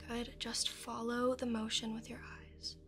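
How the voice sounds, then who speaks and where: A woman talks softly in a soothing tone while music plays in the background. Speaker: hypnotist guide. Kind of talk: guided hypnosis induction. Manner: soft, slow, soothing ASMR voice. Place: studio.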